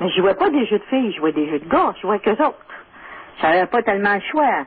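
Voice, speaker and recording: Lively intonation from a woman at a medium pitch, with noticeable background noise. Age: 50s. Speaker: caller. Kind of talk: phone-in radio conversation.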